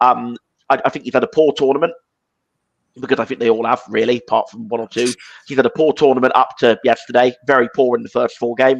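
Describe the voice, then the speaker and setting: Delivery comes at a very fast pace in an English accent, with monotone, flat intonation. The sound is dry and close, with no echo. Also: man, medium pitch for a man. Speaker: football podcast host. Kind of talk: casual chat.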